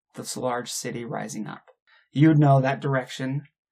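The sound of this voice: In a quiet background, the speaker uses an unforced reading voice with fairly even intonation.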